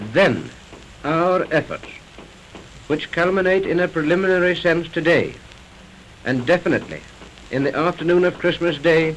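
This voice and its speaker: A man speaks against noticeable background noise. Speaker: broadcasting director giving a speech. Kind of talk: formal inaugural speech.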